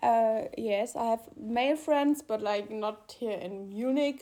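A woman's fairly high pitch with lively intonation at a fairly slow pace. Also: very clean recording, silent background. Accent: German. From Germany, Mannheim. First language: German. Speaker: podcast co-host. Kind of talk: casual chat. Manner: halting, many fillers.

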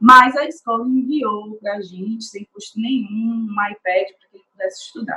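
A woman's fairly high, bright, sharp voice at a moderate pace, with ordinary pitch variation, hardly any pauses and big swings in loudness. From Brazil. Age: 30s. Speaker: restaurant assistant manager. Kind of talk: testimony.

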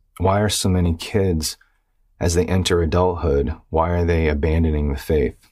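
A man's very deep, low voice with a dark, mellow tone, fairly even intonation, very even loudness and a moderate pace, in a very clean recording with a silent background. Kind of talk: exhortation monologue. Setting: video recording. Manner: faint, weak.

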